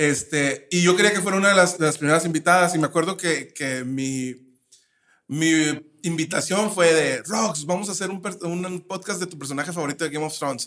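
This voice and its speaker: A man's high, bright, sharp voice at a moderate pace. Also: ordinary pitch variation. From Mexico, Nayarit. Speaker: podcast co-host, psychologist. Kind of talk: casual chat.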